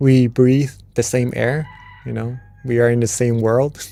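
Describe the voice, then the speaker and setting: A man with a Thai accent, dark, mellow tone, fairly even intonation and very slow pace, in a very clean recording with a silent background. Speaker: meditation teacher. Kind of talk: wisdom talk. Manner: casual.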